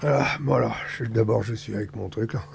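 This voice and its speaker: A man speaks over noticeable background noise. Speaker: vlogger with cancer. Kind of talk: personal video diary. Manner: halting.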